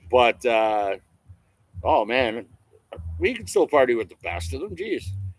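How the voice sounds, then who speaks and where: A man with a Canadian accent at a fairly slow pace, with big swings in loudness. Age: 40s. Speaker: RV vlogger. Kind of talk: casual chat.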